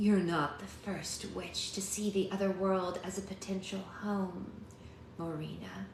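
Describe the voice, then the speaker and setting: Using a raspy, put-on character voice, a woman speaks at a medium pitch and a fairly slow pace. There is a slight echo and clear background noise. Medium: read story. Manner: growling, menacing.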